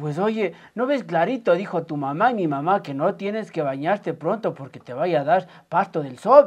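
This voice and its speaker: Someone talks at a moderate pace against a quiet background. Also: man. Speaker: actor in a drama scene. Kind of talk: scripted dialogue. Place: home room.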